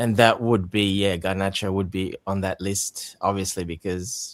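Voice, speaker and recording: Moderate pace on a very clean recording with a silent background. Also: man. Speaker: football podcast co-host. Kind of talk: casual chat.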